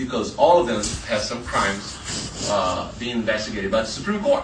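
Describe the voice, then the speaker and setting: A man with a Brazilian Portuguese accent speaks at a moderate pace and medium pitch, with audible room echo and noticeable background noise. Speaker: journalist. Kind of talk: panel talk. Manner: halting.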